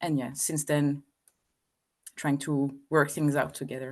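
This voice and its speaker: A woman with a French accent speaks at a very slow pace and a very deep, low pitch over a quiet background. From France. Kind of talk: interview. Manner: hesitant, many fillers.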